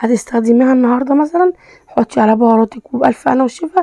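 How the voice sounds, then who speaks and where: Talking at a very fast pace, a woman uses a high-pitched voice. Her pitch varies in an ordinary way. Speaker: cooking vlogger. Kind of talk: cooking tutorial. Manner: halting, many fillers.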